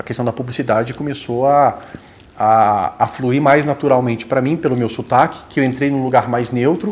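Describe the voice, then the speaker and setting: The speaker is a man. Background noise is noticeable. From southern Brazil, Rio Grande do Sul (Passo Fundo). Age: 40s. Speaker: actor. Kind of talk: interview.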